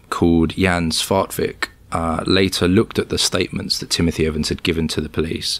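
A man speaks with a British accent. His very deep, low voice keeps fairly even intonation. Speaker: cybersecurity researcher. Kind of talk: interview. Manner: halting, many fillers.

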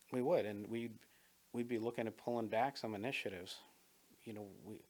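This man talks at a fairly quick pace with a medium pitch. His intonation stays fairly even. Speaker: school board candidate. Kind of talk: interview. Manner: fast.

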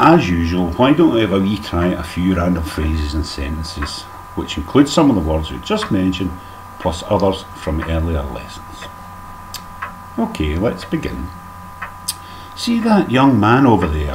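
In a Scottish accent, the intonation is lively, broken by long, frequent pauses. Light background noise runs underneath. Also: man, very deep, low pitch for a man, moderate pace. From Scotland. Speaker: dialect teacher. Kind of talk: comedic language lesson narration. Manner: mock-formal, tongue-in-cheek. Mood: dry humorous. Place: home room. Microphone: webcam.

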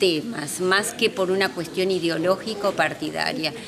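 A fairly slow delivery with ordinary pitch variation over noticeable background noise. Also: woman. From Argentina, Santa Fe (near Esperanza). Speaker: politician. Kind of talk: interview. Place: hall.

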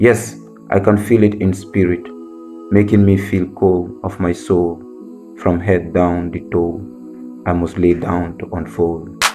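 Music plays in the background as a man speaks at a fairly slow pace with long, frequent pauses. His very deep, low voice shows ordinary pitch variation. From Gambia. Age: 20s. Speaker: spoken word poet. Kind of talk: spoken word poetry performance.

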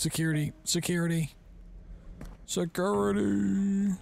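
A man uses a put-on character voice at a fairly high pitch and fairly slow pace. His pitch swings very widely over clear background noise. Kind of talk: gameplay commentary. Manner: shouting for help, angry.

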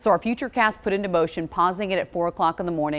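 A woman speaks in an animated tone. Her pitch is fairly low. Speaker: TV meteorologist. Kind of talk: TV weather forecast, presenting maps and temperatures to camera. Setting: TV studio. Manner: upbeat, smooth broadcast delivery with steady pacing; clear, explanatory, walking viewers through animated forecast. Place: studio.

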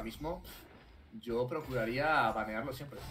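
A medium-pitched male voice with music in the background. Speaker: esports caster. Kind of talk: live esports commentary. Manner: animated, fast, excitable play-by-play.

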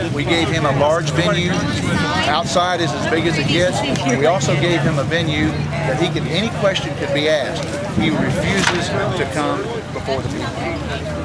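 A man speaks at a moderate pace. Crowd noise fills the background. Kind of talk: interview answer. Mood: firm, indignant. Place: street. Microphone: handheld.

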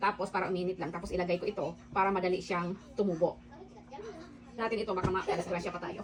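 Despite long, frequent pauses, a woman talks at a very fast pace in a monotone, flat intonation over noticeable background noise. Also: medium pitch for a woman. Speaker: home cooking vlogger. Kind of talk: cooking tutorial. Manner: casual, chatty.

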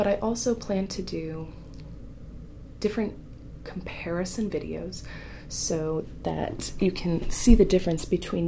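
A soft-spoken woman talks at a moderate pace with big swings in loudness and long, frequent pauses over light background noise. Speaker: artist, former ASMR creator. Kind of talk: ASMR painting tutorial chat. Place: home room.

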